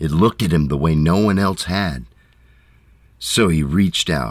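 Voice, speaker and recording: A man talks very slowly in a very deep, low voice with vocal fry. His pitch swings very widely. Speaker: narrator. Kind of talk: poetic fairytale narration. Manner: slow, quiet.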